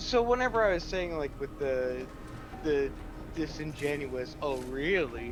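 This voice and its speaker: With noticeable background noise and audible room echo, a man speaks fairly slowly in a fairly high pitch, using lively intonation. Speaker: gaming streamer. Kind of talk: casual chat. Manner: loud.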